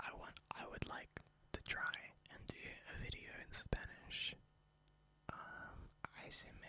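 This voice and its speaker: A man is whispering. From Spain. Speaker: ASMR youtuber. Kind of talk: ASMR rambling. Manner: soft-spoken; halting.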